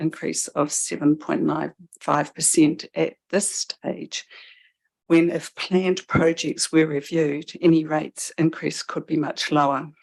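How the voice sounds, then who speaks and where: Soft-spoken and monotone, a woman talks in a very deep, low voice at a fairly slow pace with flat intonation and a dry, close sound with no echo. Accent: New Zealand. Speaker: member of the public addressing council. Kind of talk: public submission at council meeting.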